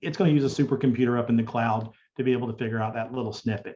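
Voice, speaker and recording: A man's medium-pitched, somewhat breathy voice with a dark, mellow tone, fairly even intonation and a slight Southern US accent. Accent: Southern US drawl, slight. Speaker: digital accessibility specialist. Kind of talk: conference Q&A.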